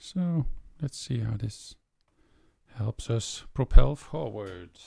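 A man speaks at a very slow pace, and the sound is dry with no echo. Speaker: musician. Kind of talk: casual chat. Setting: home. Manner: soft-spoken. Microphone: studio mic.

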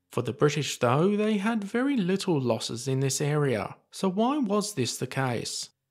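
A man speaks at a fairly slow pace. His pitch swings very widely, and the recording is very clean with a silent background. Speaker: history video narrator. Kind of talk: scripted WWII documentary narration, steady and authoritative. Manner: measured, even-paced, formal and clear.

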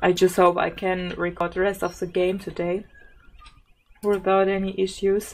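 A woman speaks at a moderate pace in a monotone, flat intonation, with long, frequent pauses. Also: medium pitch for a woman. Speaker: gaming YouTuber. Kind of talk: gameplay commentary. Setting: home recording at PC. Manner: giggly.

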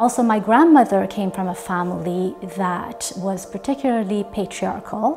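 Clear music plays behind a woman speaking at a moderate pace, with a medium pitch and ordinary pitch variation. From Iran. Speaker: multidisciplinary artist. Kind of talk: interview answer. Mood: calm, reflective. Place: studio. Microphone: lapel.

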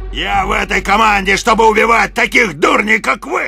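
With faint music in the background, a man uses a raised, projected voice at a high pitch. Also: moderate pace. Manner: shouting, menacing.

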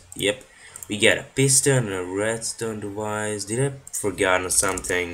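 Words come at a fairly slow pace, with noticeable background noise throughout. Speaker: gaming video creator. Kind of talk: gameplay commentary. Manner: casual, rambling thinking aloud.

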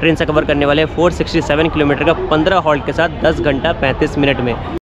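Background noise is noticeable here. A man speaks at a moderate pace with monotone, flat intonation. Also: dry sound with no echo. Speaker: travel vlogger. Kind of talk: casual vlog chat. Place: station. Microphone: phone near.

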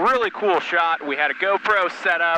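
Over noticeable background noise, a man with a high pitch and ordinary pitch variation is heard in a dry sound with no echo. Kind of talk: casual explanatory commentary. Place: plane. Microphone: headset.

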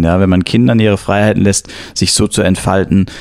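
His pitch is very deep and low, with a dark, mellow tone. The man keeps a moderate pace. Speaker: podcast host. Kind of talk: interview.

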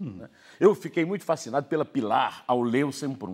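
A man's voice moves through very wide pitch swings. The background is quiet. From Brazil. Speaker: newspaper editorial writer and commentator; newspaper editorial writer, commentator. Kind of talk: TV interview questions. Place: studio. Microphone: lapel.

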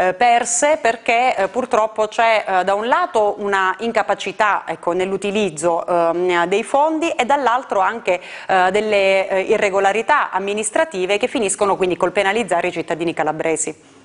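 At a moderate pace, a woman with medium pitch and lively intonation speaks in an unremarkable speaking voice. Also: very even loudness. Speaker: member of European Parliament. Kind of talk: formal political interview.

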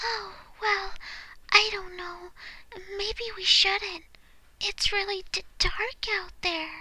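A woman's put-on character voice, extremely high-pitched, very slow, with long, frequent pauses. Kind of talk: voice acting audition. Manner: soft-spoken, hesitant.

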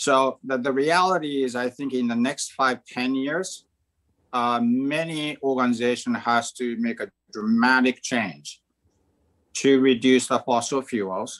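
Speaking at a fairly slow pace, a man talks with a Japanese accent. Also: ordinary pitch variation, quiet background. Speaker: bank chief risk officer; panelist. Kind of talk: panel discussion. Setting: video call. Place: home room. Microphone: video call.

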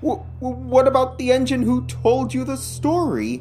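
Clear music plays in the background. A put-on character voice speaks at a fairly slow pace. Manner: gruff, grunting.

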